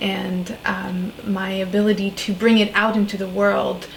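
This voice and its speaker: Over noticeable background noise, a woman talks at a medium pitch with monotone, flat intonation. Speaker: shaman, spiritual coach and author. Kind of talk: interview conversation.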